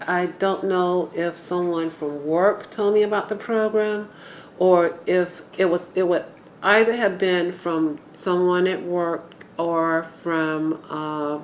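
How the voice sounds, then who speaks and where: A woman speaks in an ordinary speaking voice with an American accent. Her pitch is fairly low and her intonation fairly even. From Atlanta, Georgia (US South). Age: 60s. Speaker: urban homesteader, interviewee. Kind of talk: oral history interview.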